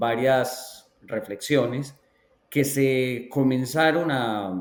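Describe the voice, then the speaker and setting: Speaking very slowly with a Colombian accent, a man talks at a medium pitch with ordinary pitch variation. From Colombia, Antioquia (La Ceja). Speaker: education researcher. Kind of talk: interview.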